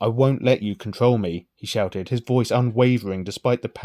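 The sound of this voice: The voice is an unforced reading voice. Behind it, the background is quiet.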